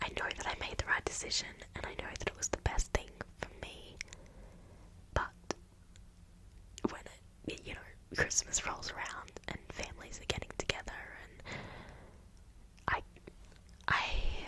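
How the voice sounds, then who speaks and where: A woman whispering with big swings in loudness, long, frequent pauses, and noticeable background noise. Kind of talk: whispered ASMR ramble about life updates. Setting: recorded at home for ASMR channel. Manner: slow, hesitant, reflective with pauses.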